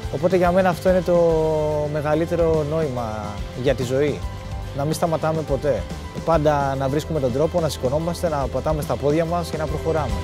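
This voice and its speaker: A man with a fairly high pitch talks at a fairly quick pace, leaving long, frequent pauses. Clear music plays in the background, and the sound is dry with no echo. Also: ordinary pitch variation. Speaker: ski mountaineer. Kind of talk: documentary interview narration. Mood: calm, reflective. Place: open country.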